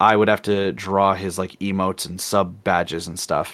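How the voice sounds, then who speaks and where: A man speaks at a fairly low pitch with fairly even intonation, in an unremarkable speaking voice. The recording is very clean, with a silent background. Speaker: artist and streamer. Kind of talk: casual chat.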